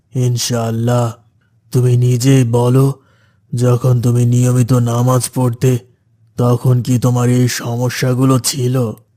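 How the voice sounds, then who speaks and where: A cartoonish character voice from a man, medium in pitch, flat and monotone, at a fairly slow pace with very even loudness. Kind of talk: Islamic moral cartoon preaching. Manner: gentle, sermonizing.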